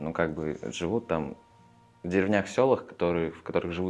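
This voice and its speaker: A man's very deep, low voice at a moderate pace, with ordinary pitch variation and music in the background. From Russia, Perm region (Chaykovsky). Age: 20s. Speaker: theatre directing student. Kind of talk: interview. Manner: halting, many fillers.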